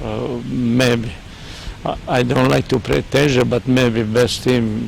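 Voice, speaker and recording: Noticeable background noise sits behind a man with a Serbian accent. He speaks at a medium pitch and fairly slow pace, with ordinary pitch variation. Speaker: football coach. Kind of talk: interview. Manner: halting.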